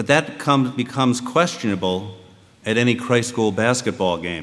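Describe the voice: A man talks at a moderate pace with lively intonation. His tone is fairly bright. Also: medium pitch for a man.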